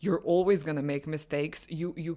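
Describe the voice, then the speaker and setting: A woman's fairly low voice with a non-native accent, on a very clean recording with a silent background. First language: not English. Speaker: lifestyle vlogger. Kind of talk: personal monologue vlog. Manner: halting with self-corrections.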